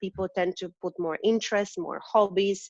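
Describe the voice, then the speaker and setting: A woman with a non-native accent, in a dry, close sound with no echo. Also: quiet background. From Eastern Europe. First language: not English. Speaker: recruiter. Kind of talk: interview.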